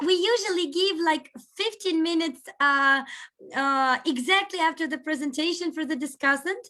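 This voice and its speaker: A woman with a Russian accent speaks at a moderate pace in a raised, projected, extremely high voice, bright and sharp in tone with lively intonation. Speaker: seminar host. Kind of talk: casual chat before online seminar. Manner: hesitant, with fillers.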